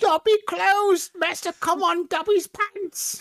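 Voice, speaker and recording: Put-on character voice at an extremely high pitch and a fairly slow pace. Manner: servile, fawning.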